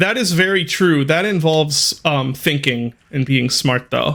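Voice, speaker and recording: A man talks at a fairly slow pace with a fairly high pitch. He has an ordinary speaking voice. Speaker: game streamer. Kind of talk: casual chat. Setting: live stream.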